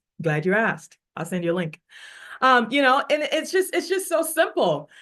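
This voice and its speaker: An animated woman's voice with an American accent, high-pitched with a bright, sharp tone, very wide pitch swings and a moderate pace. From Africa, with years in Texas. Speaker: network marketing leader. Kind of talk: motivational talk on a team call.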